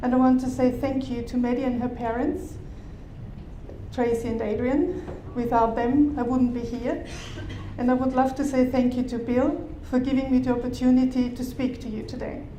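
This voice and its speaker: A woman's high-pitched voice in an Austrian accent, at a moderate pace with monotone, flat intonation, plus audible room echo and noticeable background noise. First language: German. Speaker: bodywork therapist. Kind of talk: conference talk. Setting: conference stage with audience.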